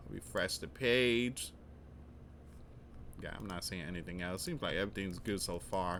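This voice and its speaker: This man speaks at a very deep, low pitch with vocal fry. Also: moderate pace. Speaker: news commentary youtuber. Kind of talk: live news commentary. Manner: halting.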